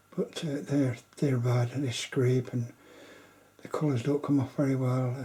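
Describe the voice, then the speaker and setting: This is a man whispering. He keeps a fairly quick pace. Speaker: amateur artist. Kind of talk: casual monologue. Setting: at home late at night. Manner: halting.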